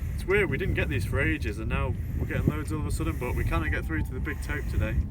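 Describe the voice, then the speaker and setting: A man with a very deep, low pitch talks at a very fast pace with ordinary pitch variation. Audible room echo and noticeable background noise surround him. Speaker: fishing channel host. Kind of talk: casual on-camera commentary. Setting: outdoors on a boat. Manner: loud.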